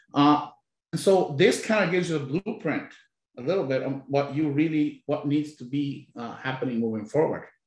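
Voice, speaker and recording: Somewhat breathy speech at a moderate pace, with ordinary pitch variation. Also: man, fairly high pitch for a man. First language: Spanish. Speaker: labor union leader. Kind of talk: panel discussion.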